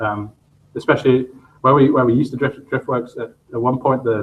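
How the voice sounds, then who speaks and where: A man speaks at a moderate pace with a medium pitch. His voice is somewhat breathy, and his intonation stays fairly even. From England, Northampton. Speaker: shop co-owner and show co-host. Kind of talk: casual chat.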